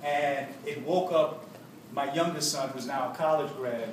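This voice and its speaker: A man's fairly high voice with an American accent, ordinary pitch variation, and noticeable background noise. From Harlem, New York. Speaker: former activist, author, spoken word poet. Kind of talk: speech to students.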